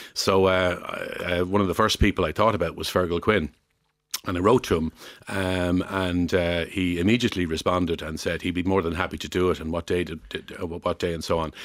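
In an Irish accent, a man with a very deep, low voice talks fairly quickly in a flat monotone. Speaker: former retail executive. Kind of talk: radio interview. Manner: hesitant, many fillers.

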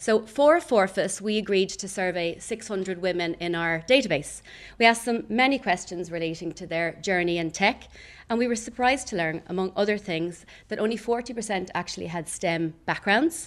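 A woman's ordinary speaking voice, medium in pitch, with lively intonation at a moderate pace over a quiet background. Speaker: recruitment company managing director. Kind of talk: prepared speech. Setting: stage with live audience.

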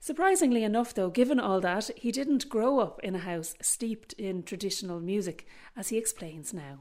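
In a very clean recording with a silent background, a woman with an Irish accent talks at a fairly quick pace with ordinary pitch variation. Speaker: radio presenter. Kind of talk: scripted introductions and interview.

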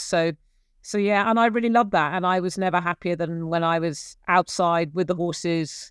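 With an English accent, a woman talks at a moderate pace using fairly even intonation. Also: very clean recording, silent background. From England, Gloucestershire. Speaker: investigative journalist. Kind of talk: interview.

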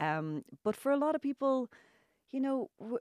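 A woman with an Irish accent, dry, close sound with no echo. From Ireland. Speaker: author and journalist. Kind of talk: radio interview. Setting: radio studio.

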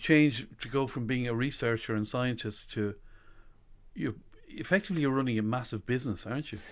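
Speaking at a fairly quick pace, a man with an Irish accent has a medium-pitched voice. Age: 50s. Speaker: radio host. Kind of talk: interview. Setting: radio studio.

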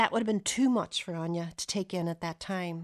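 A woman's fairly low-pitched voice shows ordinary pitch variation. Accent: Donegal. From Donegal, Ireland (arrived from Ohio as a child). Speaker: writer. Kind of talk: scripted narration.

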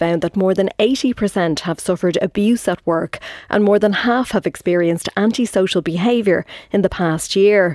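A woman's dark, mellow voice in an Irish accent, medium in pitch, at a moderate pace with ordinary pitch variation and a dry, close sound with no echo. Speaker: radio news presenter. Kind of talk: radio news interview. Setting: studio.

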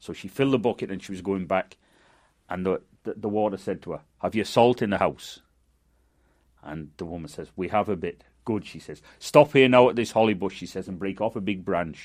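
A fairly quick delivery with big swings in loudness, in a Manchester accent. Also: man, fairly low pitch for a man, ordinary pitch variation. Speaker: storyteller. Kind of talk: folk tale storytelling.

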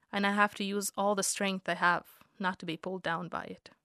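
A woman with a slight non-native accent speaks at a fairly quick pace, medium in pitch, with monotone, flat intonation and a bright, sharp tone. The recording is very clean with a silent background, and the sound is dry and close with no echo. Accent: slight foreign. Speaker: essayist. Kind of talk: scripted narration.

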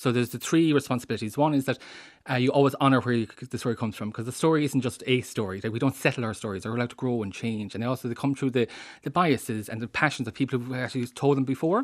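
At a very fast pace, a man with a medium pitch speaks with ordinary pitch variation against a quiet background. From Ireland, Traveller community. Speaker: writer and Traveller cultural expert. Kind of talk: radio interview. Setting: studio.

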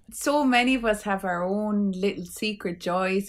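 With an Irish accent, a woman speaks at a medium pitch with ordinary pitch variation. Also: very clean recording, silent background. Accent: Irish (Clare). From Ireland, County Clare. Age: 40s. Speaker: poet and author. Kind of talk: casual interview chat.

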